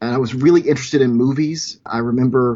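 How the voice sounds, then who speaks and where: This man talks with an American accent at a medium pitch. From US South, rural Louisiana. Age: 40s. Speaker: short film producer. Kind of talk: casual interview storytelling. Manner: hesitant, with fillers.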